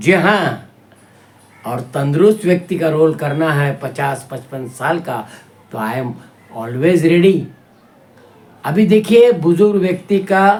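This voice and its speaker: A high-pitched man with lively intonation and long, frequent pauses. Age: 60s. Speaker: actor. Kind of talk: acting tutorial explanation.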